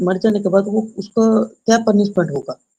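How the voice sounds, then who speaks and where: The voice carries a dark, mellow tone with fairly even intonation. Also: man. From West Bengal, India. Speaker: caller. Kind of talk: call-in question. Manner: halting.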